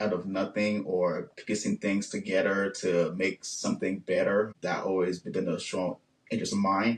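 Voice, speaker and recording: A man speaks in a Haitian accent at a moderate pace. His pitch is fairly low and his intonation fairly even. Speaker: engineer and business owner. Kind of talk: interview.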